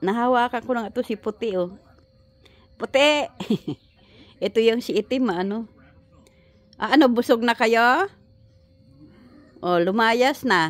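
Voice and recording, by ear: The speaker talks at a fairly slow pace with ordinary pitch variation. Long, frequent pauses break up the speech. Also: woman, fairly high pitch for a woman.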